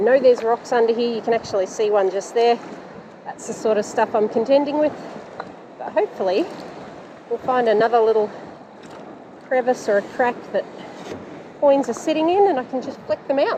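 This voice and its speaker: Speaking with an Australian accent, the voice moves at a fairly quick pace yet leaves long, frequent pauses. Pitch variation is ordinary, and background noise is noticeable. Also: woman, high pitch for a woman. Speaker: metal detecting YouTuber. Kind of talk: casual vlog narration. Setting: outdoors on a beach. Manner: animated; fast.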